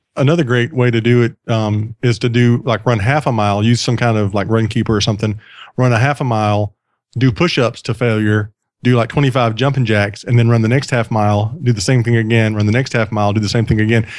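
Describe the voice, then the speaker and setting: On a very clean recording with a silent background, a man with a Southern US accent talks at a very fast pace, a medium pitch and fairly even intonation. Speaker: podcast host. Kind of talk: casual chat.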